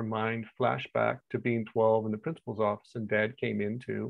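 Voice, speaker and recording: The recording has a quiet background and a dry sound with no echo. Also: man. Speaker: coach telling a client story. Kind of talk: casual explanatory talk. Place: home room. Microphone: earbuds.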